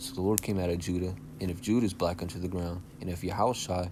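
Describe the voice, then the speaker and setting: Audible room echo surrounds a man whose very deep, low voice is somewhat breathy, moving at a fairly quick pace with ordinary pitch variation. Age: young. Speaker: religious teacher. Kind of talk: bible lesson. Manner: casual, filler-heavy.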